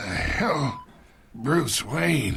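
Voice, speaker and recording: A man's raspy, put-on character voice at a medium pitch. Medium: video game. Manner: gruff, contemptuous.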